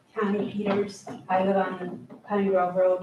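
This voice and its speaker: A woman speaks very slowly. Her tone is dark and mellow, and somewhat breathy. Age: 60s. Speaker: resident speaking at public comment. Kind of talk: public comment at meeting. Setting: county board meeting room.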